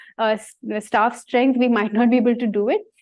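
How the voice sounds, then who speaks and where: This woman speaks with a Bengali accent. Her pace is fairly quick. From India, Bengali-speaking. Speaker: science communicator. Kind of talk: talk with Q&A.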